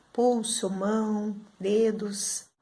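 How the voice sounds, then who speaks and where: In a room with audible echo, a woman's somewhat breathy voice holds a medium pitch and a monotone, flat intonation. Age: 60s. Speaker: student giving testimonial. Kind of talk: testimony.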